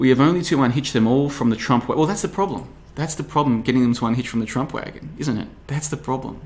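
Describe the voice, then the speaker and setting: A man is speaking. His intonation is lively. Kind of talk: podcast monologue reading listener comments. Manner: stumbling over words; fast.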